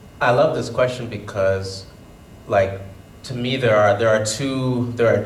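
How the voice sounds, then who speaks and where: A man talks at a fairly slow pace, his intonation fairly even, while audible room echo and noticeable background noise fill the recording. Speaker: panelist, person who stutters. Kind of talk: panel discussion. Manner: stutters.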